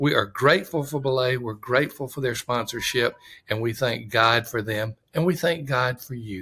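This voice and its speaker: Recorded very cleanly against a silent background, a man with a Southern US accent speaks at a medium pitch with a bright, sharp tone and ordinary pitch variation. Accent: Southern drawl. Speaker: podcast host. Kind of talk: podcast monologue.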